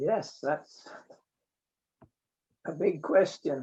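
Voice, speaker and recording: Someone with a Scottish accent speaks at a very slow pace. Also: man. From Scotland, Borders coast near Eyemouth. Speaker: mechanical engineer. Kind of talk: interview.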